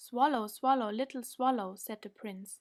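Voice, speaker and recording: The speaker talks at a fairly slow pace with fairly even intonation in a German accent. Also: woman. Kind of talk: bedtime story reading.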